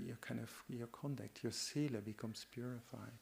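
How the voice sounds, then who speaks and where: With a Dutch accent, a man speaks at a medium pitch. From Netherlands. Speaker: Buddhist monk. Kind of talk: dharma talk. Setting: meditation retreat. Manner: halting.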